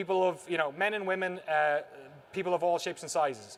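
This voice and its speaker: A man with a strong Irish accent speaks at a high pitch with ordinary pitch variation. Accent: thick Irish. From Ireland, Waterford (south). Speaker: documentary filmmaker, former games journalist. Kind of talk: conference talk. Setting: stage with audience.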